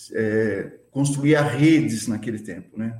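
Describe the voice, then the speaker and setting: This man talks at a very slow pace. His pitch sits in the medium range. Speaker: community culture activist. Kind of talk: casual chat. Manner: slangy and talkative.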